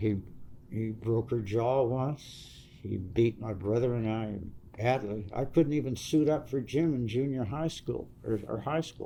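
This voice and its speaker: At a fairly slow pace, a man with an American accent talks in a dark, mellow tone at medium pitch with ordinary pitch variation. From Southern California (Santa Monica). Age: 70s. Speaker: former biker club member. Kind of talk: life story interview. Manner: halting.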